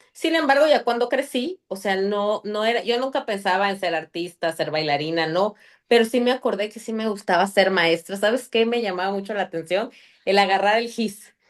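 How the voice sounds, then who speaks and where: A woman's medium-pitched voice at a moderate pace, with lively intonation. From Mexico City, later Chiapas. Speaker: podcast guest. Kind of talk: interview. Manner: loud; animated.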